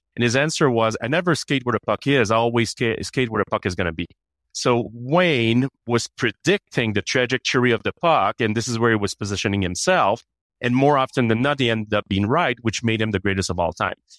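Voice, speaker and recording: A man at a fairly quick pace and medium pitch, with ordinary pitch variation, on a very clean recording with a silent background and a dry, close sound with no echo. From Canada. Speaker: HR executive. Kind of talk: interview.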